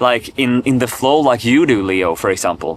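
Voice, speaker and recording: Noticeable background noise sits behind a man with a Swedish accent speaking at medium pitch. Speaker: vlogger. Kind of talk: unscripted personal vlog monologue. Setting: talking alone to camera. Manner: halting, many repetitions and fillers.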